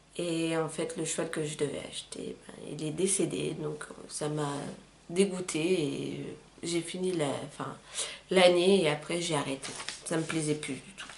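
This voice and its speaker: A woman's very deep, low voice at a fairly slow pace, fairly even in intonation, with long, frequent pauses, noticeable background noise and audible room echo. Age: 20s. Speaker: YouTuber. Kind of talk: casual chat. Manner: hesitant, many fillers.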